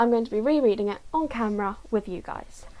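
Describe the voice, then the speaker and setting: A quiet, fairly high-pitched woman's voice at a fairly quick pace, with ordinary pitch variation. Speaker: YouTuber reading a novel aloud. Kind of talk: casual vlog chat. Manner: quiet, low volume.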